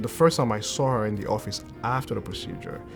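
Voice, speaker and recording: A man speaks at a fairly low pitch and a fairly quick pace, with ordinary pitch variation. Music plays in the background. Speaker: cardiologist. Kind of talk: interview answer.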